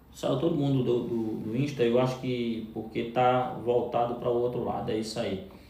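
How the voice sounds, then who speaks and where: Speaking fairly slowly at a medium pitch with ordinary pitch variation, a man is heard in a room with audible echo and noticeable background noise. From Brazil, Pernambuco (Northeast). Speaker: live streamer, business coach. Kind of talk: live stream chat with viewers. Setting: live stream. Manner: animated.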